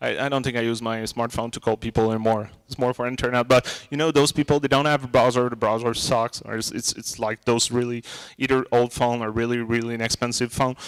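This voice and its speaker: This man talks at a very fast pace, at a medium pitch, with a Quebec accent. His intonation is monotone and flat, and the sound is dry and close with no echo. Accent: Québécois French accent in English. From Quebec, Montreal. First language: French. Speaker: tech conference speaker. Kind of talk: tech talk Q&A. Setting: small room with audience and mic. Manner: loud.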